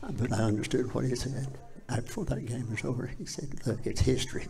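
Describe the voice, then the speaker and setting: A man speaks with an Appalachian accent at a moderate pace and medium pitch. The room gives an audible echo. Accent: Southern US, Appalachian. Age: 80s+. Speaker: former high school football player. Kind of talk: casual interview. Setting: live show in a public venue.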